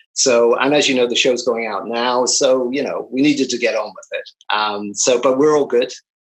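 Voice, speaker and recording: A man with a Northern Irish accent talks at a fairly quick pace. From Northern Ireland. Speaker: film and TV editor. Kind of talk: interview.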